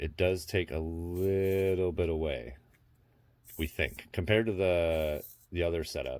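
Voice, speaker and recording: On a very clean recording with a silent background, a man speaks with a very deep, low pitch and ordinary pitch variation. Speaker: RC hobby youtuber. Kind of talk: tutorial. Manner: fast.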